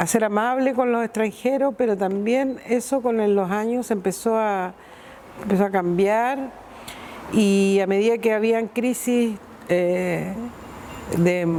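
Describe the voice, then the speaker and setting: A woman's fairly high voice at a very slow pace, long, frequent pauses throughout, ordinary pitch variation and very even loudness. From northern Chile, Iquique. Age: 60s. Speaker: migrant interviewee. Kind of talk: testimony.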